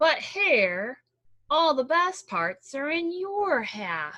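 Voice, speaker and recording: A woman's high, put-on character voice at a very slow pace. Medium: read story. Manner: slow, drowsy.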